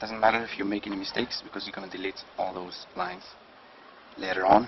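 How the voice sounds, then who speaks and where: At a moderate pace, a man with a non-native accent speaks in a fairly low, monotone and flat voice over noticeable background noise. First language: non-native English speaker. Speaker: drawing instructor. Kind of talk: drawing tutorial narration.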